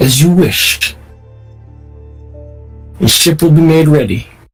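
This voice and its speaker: A put-on character voice at a middle pitch moves at a fairly slow pace with faint music in the background. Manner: through gritted teeth, barely contained anger.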